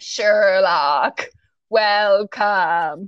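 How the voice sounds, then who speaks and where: A woman puts on a creaky character voice at medium pitch. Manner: slow, deliberate.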